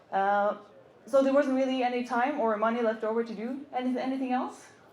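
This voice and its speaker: Audible room echo surrounds a woman speaking at a fairly quick pace with a Norwegian accent. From Norway. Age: 30s. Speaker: motorcycle content creator. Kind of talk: stage talk. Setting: stage with audience. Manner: halting.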